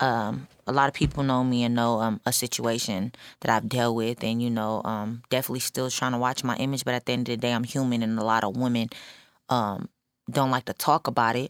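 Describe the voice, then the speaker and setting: Delivered at a fairly quick pace with fairly even intonation, this voice comes through dry and close with no echo, in a very clean recording over a silent background. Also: woman, very deep, low pitch for a woman. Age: 20s. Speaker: music artist. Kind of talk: casual chat. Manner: mumbling at times.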